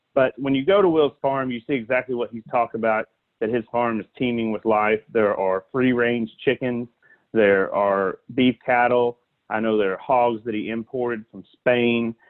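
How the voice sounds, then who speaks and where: Using fairly even intonation, a man with a Southern US accent talks at a medium pitch and a moderate pace. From US South, south Alabama. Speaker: animal welfare advocate. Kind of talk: podcast interview.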